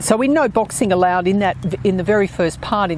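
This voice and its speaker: A woman keeps up a fairly quick pace while noticeable background noise carries on. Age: 60s. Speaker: author and podcast host. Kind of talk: podcast monologue with book readings. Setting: outdoors.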